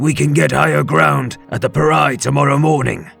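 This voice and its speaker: A man's put-on character voice at a medium pitch and moderate pace, with very wide pitch swings and faint music in the background. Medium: read story. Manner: respectful.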